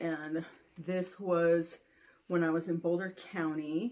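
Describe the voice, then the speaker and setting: A woman's medium-pitched voice at a very slow pace. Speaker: podcast co-host. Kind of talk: casual chat. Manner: animated.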